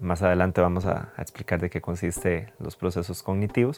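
With a Costa Rican accent, a man speaks at a moderate pace and with fairly even intonation on a very clean recording with a silent background. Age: 30s. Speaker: physiotherapist. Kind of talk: podcast monologue.

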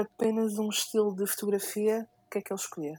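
Her voice is fairly high for a woman, with a dark, mellow tone and monotone, flat intonation. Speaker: podcast co-host, photographer. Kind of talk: casual chat.

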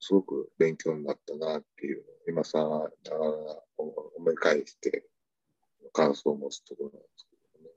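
A man with an Osaka accent speaks with long, frequent pauses and big swings in loudness, in a dry, close sound with no echo. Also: moderate pace. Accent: Osaka Kansai dialect. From Osaka, Japan. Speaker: tanka poet, contest judge. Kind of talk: casual interview chat.

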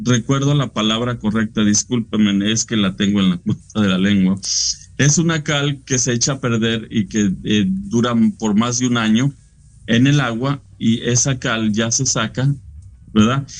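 At a fairly slow pace, a man speaks at a medium pitch with ordinary pitch variation and very even loudness. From Mexico, Frontera/Monclova, Coahuila. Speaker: painter. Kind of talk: interview. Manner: halting.

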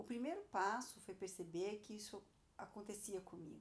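The woman's voice has a dark, mellow tone. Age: 40s. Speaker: podcast host, entrepreneur. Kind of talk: personal monologue, podcast.

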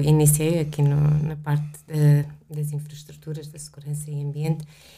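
The voice has a dark, mellow tone and moves at a moderate pace. Room echo is audible. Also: woman. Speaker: engineer, facilities manager. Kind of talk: interview.

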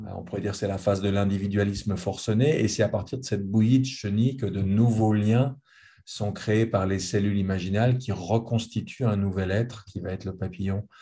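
Somewhat breathy and fairly low in pitch, the man has a dark, mellow tone and fairly even intonation. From Geneva, Switzerland. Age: 60s. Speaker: author. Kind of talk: conversational interview. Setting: video call. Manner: repetitive stammering.

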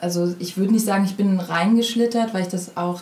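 The voice moves at a moderate pace. Noticeable background noise sits behind it. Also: woman. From Berlin, Germany. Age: 20s. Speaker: actress. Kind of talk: interview.

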